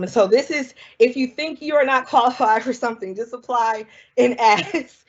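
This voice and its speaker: A woman speaks with a Southern US accent at a fairly quick pace. Her voice is high, with ordinary pitch variation. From US South, South Carolina. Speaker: scientist. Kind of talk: public talk. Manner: casual, conversational.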